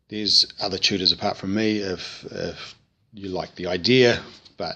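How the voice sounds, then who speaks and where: A man speaks at a medium pitch. He has a New Zealand accent. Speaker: vocal tutor. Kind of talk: tutorial. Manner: casual, hesitant with frequent 'um'.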